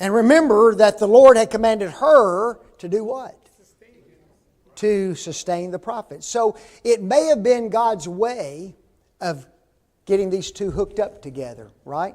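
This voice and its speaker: The speaker's loudness swings widely, broken up by long, frequent pauses. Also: man, high pitch for a man, lively intonation, fairly slow pace. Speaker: Bible class teacher. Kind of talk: Bible class lecture. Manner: animated.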